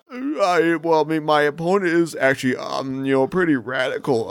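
Someone does a put-on character voice at a fairly slow pace, with light background noise. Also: man, high pitch for a man. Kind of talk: low-energy drawl. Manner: slow, stumbling, sluggish.

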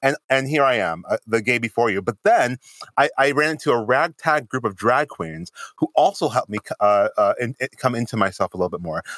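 With an American accent, a man talks at a fairly quick pace in an ordinary speaking voice, medium in pitch with lively intonation. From Springfield, Massachusetts. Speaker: podcast co-host. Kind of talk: casual chat.

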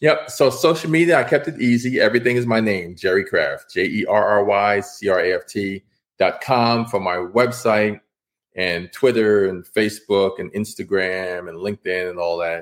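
A man speaks with an American accent in a plain, everyday voice. His pitch is fairly low, with ordinary variation, at a moderate pace. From New York City, Washington Heights. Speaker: author and illustrator. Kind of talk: interview.

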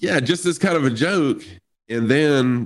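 A man with an American accent talks at a moderate pace, using very wide pitch swings. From US South. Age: 50s. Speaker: streamer. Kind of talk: casual chat.

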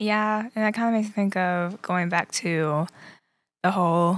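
A woman's medium-pitched voice with ordinary pitch variation, a moderate pace, and a very clean recording over a silent background. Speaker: co-host. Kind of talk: casual religious talk show.

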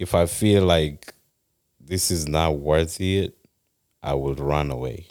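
A man's very deep, low voice, very slow, with long, frequent pauses. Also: ordinary pitch variation. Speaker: podcast guest. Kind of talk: casual chat. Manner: passionate.

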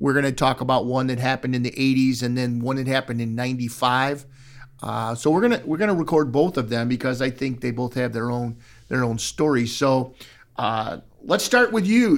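On a very clean recording with a silent background, a man with a normal speaking voice talks at medium pitch and a moderate pace. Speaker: podcast host. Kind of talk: casual interview. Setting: sailing club with live audience.

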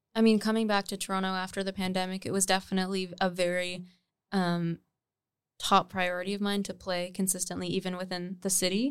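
A woman with an unremarkable speaking voice, medium in pitch, at a moderate pace. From Nova Scotia, Canada. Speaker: singer-songwriter. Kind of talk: casual chat.

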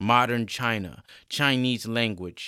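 In a natural reading voice, the delivery shows ordinary pitch variation.

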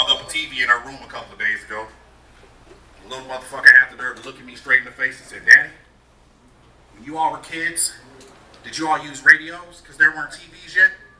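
A man's very fast speech broken by long, frequent pauses, over noticeable background noise. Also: big swings in loudness. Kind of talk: stand-up comedy, personal anecdotes and political jokes. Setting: stage with audience.

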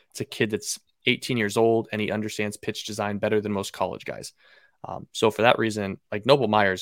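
A man talks at a fairly quick pace in a flat monotone, his pitch fairly low. The recording is very clean and dry, close with no echo against a silent background. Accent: Pacific Northwest. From Seattle, Washington, US Pacific Northwest. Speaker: baseball draft analyst. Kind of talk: casual interview.

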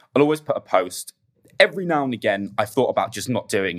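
His intonation is lively. The man has an English accent. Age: 20s. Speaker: podcast guest sharing grief story. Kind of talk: casual chat, personal testimony.

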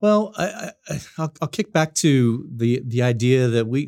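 A man's dark, mellow voice shows ordinary pitch variation in a very clean recording with a silent background. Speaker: church consultant. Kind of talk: casual interview.

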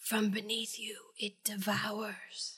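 A put-on character voice at a fairly high pitch. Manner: creepy, ominous.

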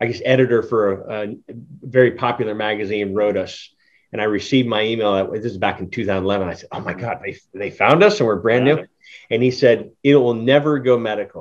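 At a fairly quick pace, a man with a plain, everyday voice of medium pitch speaks with ordinary pitch variation and big swings in loudness. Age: 50s. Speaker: cannabis podcast host. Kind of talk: casual interview.

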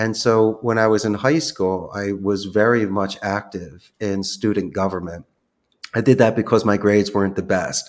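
At a moderate pace, a man with an American accent and an unremarkable speaking voice speaks at a fairly low pitch with fairly even intonation, in a very clean recording with a silent background. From US Northeast, Philadelphia. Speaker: call center CEO. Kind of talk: podcast interview.

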